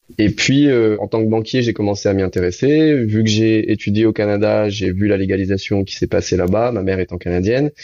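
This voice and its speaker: A man speaks in a plain, everyday voice at a fairly low pitch with ordinary pitch variation. He leaves hardly any pauses. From Réunion. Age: 30s. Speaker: entrepreneur. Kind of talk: interview.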